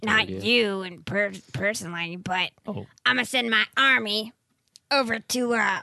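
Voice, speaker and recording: Someone puts on a character voice and speaks at a fairly slow pace. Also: female-sounding voice, medium pitch for a woman. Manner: blunt, bossy.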